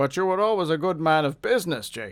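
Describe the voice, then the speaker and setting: In a very clean recording with a silent background, a man does a put-on character voice at a fairly high pitch and a very fast pace. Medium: read story. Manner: businesslike, cautious.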